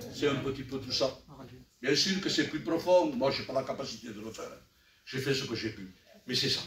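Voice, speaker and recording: With audible room echo and noticeable background noise, a man at medium pitch talks with long, frequent pauses and big swings in loudness. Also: ordinary pitch variation, moderate pace. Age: 60s. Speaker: church elder preacher. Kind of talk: sermon.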